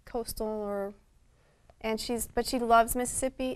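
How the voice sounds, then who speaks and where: Fairly high-pitched and fairly even in intonation, a woman with an American accent speaks at a moderate pace. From Ecuador and Colombia, back and forth with US. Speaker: gallery owner. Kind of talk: TV interview. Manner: hesitant, many fillers.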